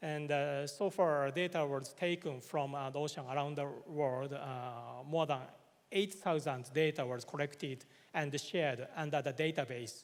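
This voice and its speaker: A man with a Japanese accent, fairly high in pitch, at a moderate pace with fairly even intonation. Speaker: government official. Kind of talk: conference presentation. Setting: conference hall. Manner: halting, many filler words.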